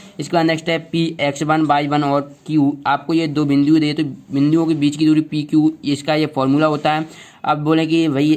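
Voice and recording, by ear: This man's voice sits fairly high and has a slightly mellow tone. He talks at a fairly quick pace with little pitch movement.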